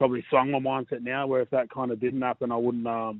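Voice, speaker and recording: Very fast speech comes from a man in an Australian accent. His intonation is monotone and flat. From western Sydney, Australia. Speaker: rugby league player. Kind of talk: interview.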